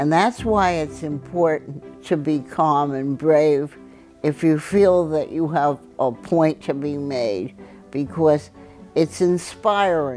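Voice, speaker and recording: A woman with a very deep, low voice speaks at a very slow pace with lively intonation over music in the background. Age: 80s+. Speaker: activist and scientist. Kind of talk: oral history interview.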